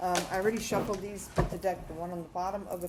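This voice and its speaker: Amid noticeable background noise and audible room echo, a woman talks at a very fast pace with fairly even intonation. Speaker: tarot reader. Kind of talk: tarot reading to camera. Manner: hesitant, many fillers.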